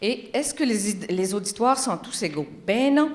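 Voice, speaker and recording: A woman's voice with lively intonation. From Quebec, Magdalen Islands. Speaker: communications researcher. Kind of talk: conference talk. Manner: animated.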